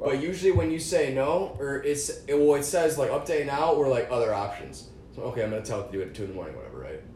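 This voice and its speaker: A man with an American accent at a very fast pace with hardly any pauses, amid noticeable background noise and audible room echo. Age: 20s. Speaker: podcast host. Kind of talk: casual chat.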